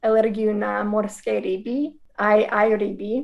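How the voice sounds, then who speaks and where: Someone with an American accent speaks at a fairly slow pace in a monotone, flat intonation. The recording is very clean, with a silent background. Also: woman. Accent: American English accent in Slovak. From US, Wisconsin. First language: English (speaking Slovak). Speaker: missionary, former teacher. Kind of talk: interview testimony.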